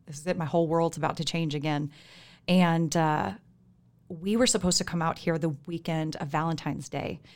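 A woman has an unremarkable speaking voice with a fairly low pitch. She talks at a fairly quick pace with fairly even intonation. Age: 30s. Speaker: church member sharing testimony. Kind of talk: testimony. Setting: studio.

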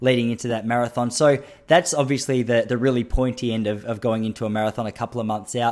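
The man talks at a fairly quick pace. His pitch is medium. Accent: Australian. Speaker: podcast host and running coach. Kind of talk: casual interview chat. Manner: chatty, tangent-prone.

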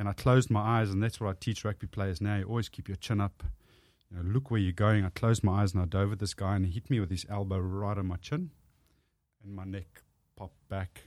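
On a very clean recording with a silent background, a man talks at a very fast pace with a strong South African accent. His voice is fairly low, and his intonation fairly even. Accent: thick South African. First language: Afrikaans. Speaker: author and public speaker. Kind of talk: casual interview chat.

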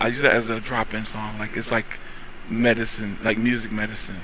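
A man's medium-pitched voice with an American accent and monotone, flat intonation, amid audible room echo and noticeable background noise. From North Carolina. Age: 40s. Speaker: opera singer. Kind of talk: casual chat. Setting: studio.

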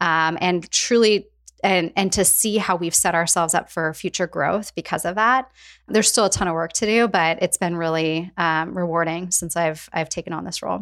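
A woman with an American accent speaks in a normal speaking voice, fairly low-pitched, at a moderate pace. Her intonation stays fairly even, and the very clean recording has a silent background. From US Pacific Northwest (Spokane, Washington). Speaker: HR executive. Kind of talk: interview conversation.

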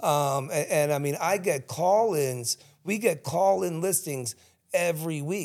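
Fairly high in pitch, a man speaks with an American accent. His pace is fairly slow. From South Jersey, Cherry Hill. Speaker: realtor. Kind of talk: casual interview chat. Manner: halting.

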